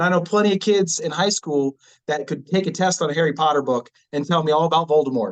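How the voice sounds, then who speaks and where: A man with an American accent talks at a very fast pace, his voice fairly high in pitch with ordinary pitch variation. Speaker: cybersecurity specialist. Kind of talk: interview.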